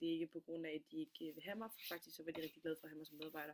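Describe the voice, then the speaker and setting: A woman's voice with ordinary pitch variation. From Denmark, Funen (Middelfart). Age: 20s. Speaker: student. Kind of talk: self-presentation. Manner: halting, many fillers.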